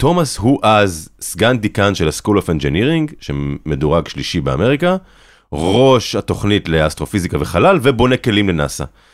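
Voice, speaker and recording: On a very clean recording with a silent background, a man with a fairly low pitch talks at a moderate pace in an animated tone, his pitch swinging very widely. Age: 30s. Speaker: documentary filmmaker and journalist. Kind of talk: interview conversation.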